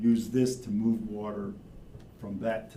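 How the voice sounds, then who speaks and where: The somewhat breathy voice keeps a moderate pace and fairly even intonation, with audible room echo. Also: man. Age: 70s. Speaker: wastewater engineer or consultant. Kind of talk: public meeting presentation.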